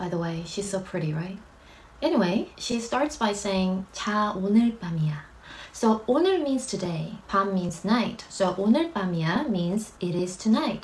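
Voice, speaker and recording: A woman at a medium pitch, fairly slow and lively in intonation, over noticeable background noise. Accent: Korean. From South Korea. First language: Korean. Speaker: YouTuber explaining K-pop lyrics. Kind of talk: tutorial. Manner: casual, friendly.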